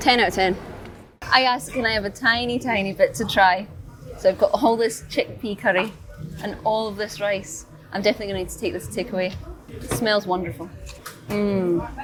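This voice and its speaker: Amid noticeable background noise, a woman with a Scottish accent speaks with long, frequent pauses and big swings in loudness. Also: medium pitch for a woman, ordinary pitch variation, fairly quick pace. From Scotland. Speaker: food reviewer and teacher. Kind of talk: food review vlog. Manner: animated.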